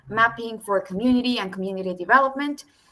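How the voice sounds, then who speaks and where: A woman speaks with a Spanish accent and fairly even intonation. Her tone is bright and sharp. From Mexico and El Salvador. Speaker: youth mapping regional ambassador. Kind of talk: webinar presentation. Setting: video call.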